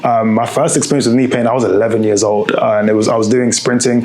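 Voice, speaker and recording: With a British accent, a man talks at a very fast pace. Noticeable background noise and audible room echo surround him. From UK. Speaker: strength and conditioning coach, podcast host. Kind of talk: podcast monologue. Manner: casual, conversational.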